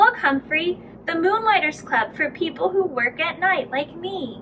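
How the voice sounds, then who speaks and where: A woman puts on a character voice at an extremely high pitch, with clear background noise behind her. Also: moderate pace. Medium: read story. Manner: casual, easygoing.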